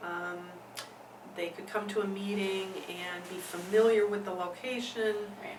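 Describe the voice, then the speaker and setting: A woman speaks in a medium pitch with an Upper Midwest accent, her loudness swinging widely while her intonation stays flat and monotone, at a fairly slow pace with long, frequent pauses over noticeable background noise. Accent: Upper Midwest American. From Milwaukee, Wisconsin. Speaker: women's rights activist, nonprofit executive director. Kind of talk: interview answer.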